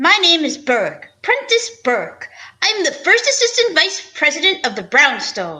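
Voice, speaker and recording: Using a put-on character voice, a woman talks at an extremely high pitch with very wide pitch swings and a fairly slow pace. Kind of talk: 1940s radio acting. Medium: audio drama. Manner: formal, stiff, fussy.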